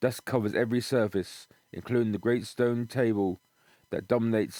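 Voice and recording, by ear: Against near silence, a passage is read aloud in a natural voice, its intonation staying fairly even.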